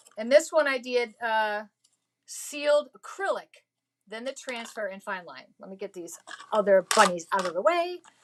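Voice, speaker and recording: At a moderate pace, a woman with a fairly high pitch makes very wide pitch swings and big swings in loudness. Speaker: craft tutorial host. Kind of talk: tutorial.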